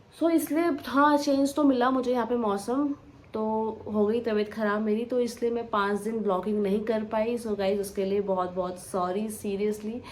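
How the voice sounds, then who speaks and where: Noticeable background noise beneath a woman's fairly high-pitched voice. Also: ordinary pitch variation. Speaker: vlogger. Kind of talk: casual vlog talk. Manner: slow.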